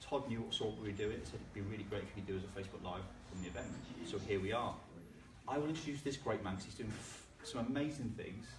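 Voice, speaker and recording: A man's medium-pitched voice at a very fast pace, with long, frequent pauses, ordinary pitch variation, audible room echo and noticeable background noise. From northwest England. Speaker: social media trainer. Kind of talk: live-streamed conference talk.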